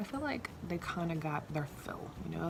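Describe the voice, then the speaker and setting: A soft-spoken woman talks in a fairly low voice. Noticeable background noise can be heard. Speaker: podcast host, mom. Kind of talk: casual monologue. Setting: home bedroom. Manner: quiet, soft-spoken; animated, chatty.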